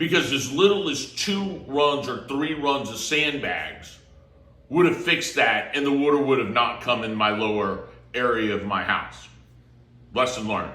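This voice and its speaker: With an American accent, a man speaks at a moderate pace and fairly high pitch with lively intonation in an unremarkable speaking voice. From Florida. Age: 50s. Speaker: real estate agent. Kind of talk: casual talk to camera.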